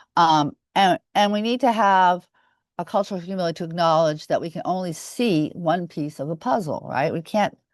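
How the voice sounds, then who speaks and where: A woman with an American accent at a moderate pace, medium pitch and lively intonation, in a dry, close sound with no echo and a quiet background. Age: 60s. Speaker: mental health advocate, nonprofit director. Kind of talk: webinar presentation. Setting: online webinar. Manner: halting, many fillers.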